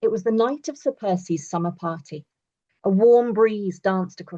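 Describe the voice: Ordinary pitch variation in plain reading aloud, set against a quiet background.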